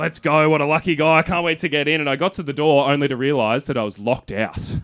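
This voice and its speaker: Very fast, nearly pause-free speech from a man with a fairly high pitch and ordinary pitch variation, against noticeable background noise. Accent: Australian. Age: 30s. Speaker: stand-up comedian. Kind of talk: stand-up. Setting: stage with audience.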